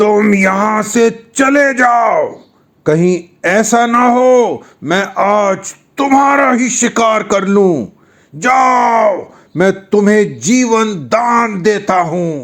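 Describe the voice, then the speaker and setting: In a put-on character voice, the speaker growls at a fairly high pitch with a menacing tone and a very slow pace. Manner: growling, menacing.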